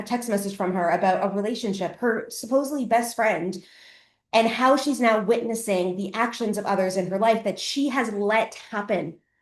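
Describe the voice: The voice belongs to a woman at a medium pitch. Room echo can be heard. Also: ordinary pitch variation, moderate pace.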